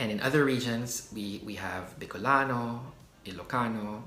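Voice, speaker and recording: The man's pitch is fairly low, with ordinary variation. His voice carries audible room echo. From Philippines. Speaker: YouTuber, culture explainer. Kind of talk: casual explainer video. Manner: hesitant, many fillers.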